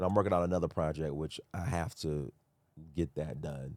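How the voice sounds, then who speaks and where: Speaking at a moderate pace with an American accent, a man has a very deep, low pitch, vocal fry and ordinary pitch variation. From US, Sacramento, California. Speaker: tour organizer and author. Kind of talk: podcast interview. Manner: casual.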